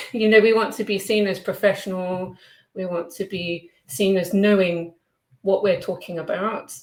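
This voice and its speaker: A woman with a British accent at a medium pitch, fairly even intonation and a moderate pace, on a very clean recording with a silent background. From Britain. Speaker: online English teacher. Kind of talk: interview.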